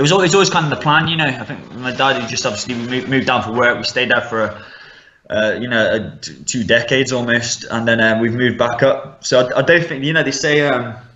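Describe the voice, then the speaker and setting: Over noticeable background noise and audible room echo, a man with a Midlands accent talks at a very fast pace. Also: medium pitch for a man, ordinary pitch variation. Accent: Midlands English, mild. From West Midlands, England (Stafford). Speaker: MMA fighter. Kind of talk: casual interview.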